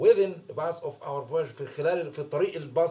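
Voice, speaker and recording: A fairly high-pitched man with a dark, mellow tone, ordinary pitch variation and a fairly quick pace. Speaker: English teacher. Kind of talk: lesson explaining a story.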